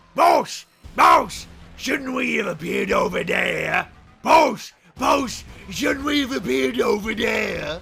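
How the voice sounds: Someone shouts in a put-on character voice while faint music plays in the background. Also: man, extremely high pitch for a man, fairly slow pace.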